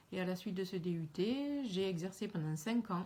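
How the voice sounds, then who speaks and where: The voice has a strong Toulouse accent and a dark, mellow tone. It is somewhat breathy, with ordinary pitch variation. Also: woman. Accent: southern French Toulouse accent, still strong. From southwest France, Aveyron and Toulouse. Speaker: teacher. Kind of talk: self-introduction video. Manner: hesitant, with fillers.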